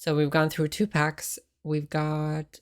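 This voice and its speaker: Soft-spoken delivery at a fairly slow pace, in a very clean recording with a silent background. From Finland. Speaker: ASMR streamer. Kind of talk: casual chat.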